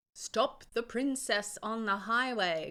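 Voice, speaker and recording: A female-sounding, put-on character voice speaks at a fairly slow pace. It is shrill, with a fairly high pitch. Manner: shouting.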